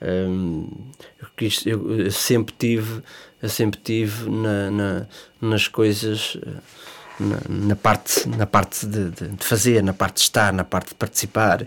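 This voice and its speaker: Very slow delivery with long, frequent pauses and fairly even intonation. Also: man, fairly low pitch for a man. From Portugal, Leiria district. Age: 30s. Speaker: football referees' association president. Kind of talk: interview. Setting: studio. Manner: halting.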